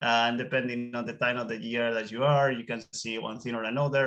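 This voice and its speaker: A man talks fairly quickly at medium pitch with a bright, sharp tone. His intonation stays fairly even. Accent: Spanish. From Spain. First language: Spanish. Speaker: whale watching guide. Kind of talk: webinar interview.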